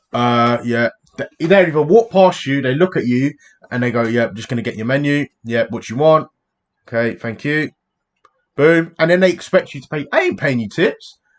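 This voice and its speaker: With a British accent, a man speaks in an animated tone at a moderate pace, his intonation lively. His pitch is fairly high, and his loudness swings widely. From England. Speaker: YouTube reactor. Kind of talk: casual chat.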